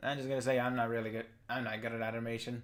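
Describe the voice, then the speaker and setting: This is a man at a medium pitch. The recording is very clean with a silent background. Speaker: YouTube commentator. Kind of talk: rant review. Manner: monotone.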